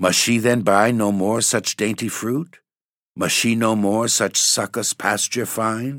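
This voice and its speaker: A man speaks at a very slow pace and a fairly low pitch. The recording is very clean, with a silent background. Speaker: poem reader and podcast host. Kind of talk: dramatic poem performance, read aloud as spooky storytelling.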